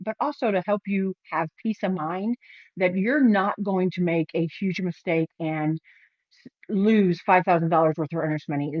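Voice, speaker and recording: With ordinary variation in her pitch, a woman talks in a medium range. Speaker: realtor. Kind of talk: promotional talk to camera. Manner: animated.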